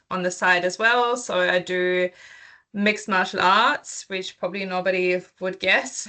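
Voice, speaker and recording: This woman speaks with a European accent. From Germany and England. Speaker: PhD researcher presenting. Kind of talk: academic seminar presentation. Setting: video call. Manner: hesitant, many filler ums.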